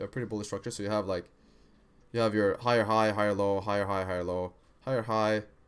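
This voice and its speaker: Very fast pace and fairly even intonation with an American accent, on a very clean recording with a silent background. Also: man. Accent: American-sounding. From Sweden. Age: 20s. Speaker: forex day trader streamer. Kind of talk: live stream trading commentary.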